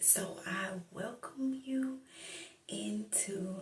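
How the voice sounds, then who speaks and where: Soft-spoken delivery over noticeable background noise. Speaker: ASMR Bible reader. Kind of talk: ASMR welcome and prayer.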